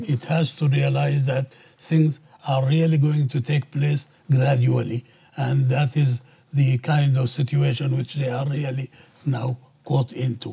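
A man's dark, mellow, somewhat breathy voice in an Arabic accent, monotone and flat, at a fairly slow pace. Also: quiet background. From Sudan. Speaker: professor. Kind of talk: panel discussion. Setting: seminar with audience. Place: hall. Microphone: lapel.

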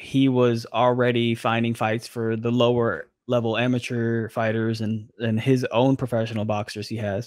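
A man recorded dry with no echo against a quiet background. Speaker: remote interviewee. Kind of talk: interview answer. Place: home room. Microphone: studio mic.

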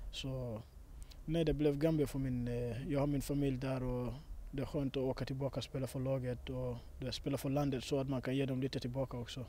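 A man's dark, mellow voice, monotone and flat, at a fairly quick pace in a dry sound with no echo. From Sweden. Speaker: footballer. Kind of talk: interview. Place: waterside. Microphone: handheld.

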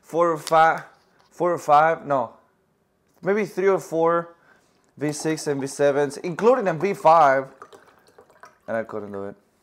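At a fairly slow speed, a man delivers his words. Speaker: vlogger. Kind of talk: casual vlog chat. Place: kitchen.

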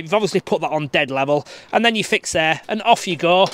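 A man speaks at a fairly quick pace in a high pitch for a man, the sound dry with no echo. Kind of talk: tutorial. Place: garden. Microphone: phone near.

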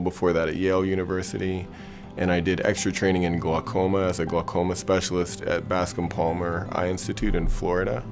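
Clear music behind a man's very deep, low voice moving at a fairly quick pace. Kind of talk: interview answer. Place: studio. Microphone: lapel.

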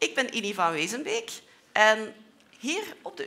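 A woman's very slow speech at a fairly high pitch, full of very wide pitch swings. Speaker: researcher. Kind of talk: lecture for children. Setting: lecture hall with audience. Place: hall.

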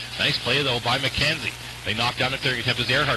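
Noticeable background noise surrounds a man who speaks in an excited tone. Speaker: hockey play-by-play commentator. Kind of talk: live sports commentary, play-by-play of a junior hockey game. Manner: rapid-fire, breathless play-by-play; excited, voice rising on goals.

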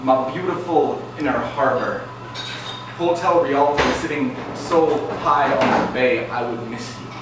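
The pitch varies in an ordinary way. There is noticeable background noise and strong room echo. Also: man. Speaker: slam poet. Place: stage. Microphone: camera far.

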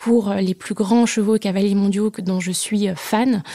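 A woman speaks at a fairly slow pace in a dark, mellow tone, her medium pitch held in fairly even intonation. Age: 30s. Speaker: racing school director. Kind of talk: interview testimony. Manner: hesitant, many fillers.

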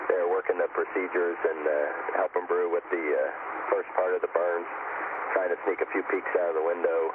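The speech goes at a fairly quick pace against noticeable background noise. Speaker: crew member narrator. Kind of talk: commentary. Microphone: handheld.

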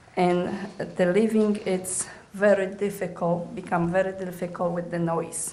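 A woman's medium-pitched voice with a non-native accent, fairly even intonation and a moderate pace, amid noticeable background noise and audible room echo. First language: not English. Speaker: resident giving public comment. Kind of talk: public comment at council meeting. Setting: council chamber podium.

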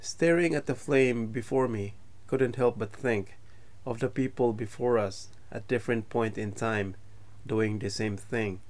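The pace is fairly slow. A man's pitch shows ordinary variation. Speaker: travel vlog narrator. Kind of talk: reflective voice-over narration.

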